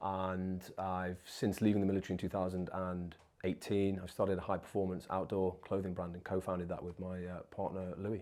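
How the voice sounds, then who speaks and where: A man's very deep, low voice in an East Midlands accent, dark and mellow in tone, monotone and flat, at a fairly quick pace on a very clean recording with a silent background. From English East Midlands (Nottingham/Mansfield), born in Wigan. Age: 30s. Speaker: former special forces soldier and entrepreneur. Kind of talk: interview.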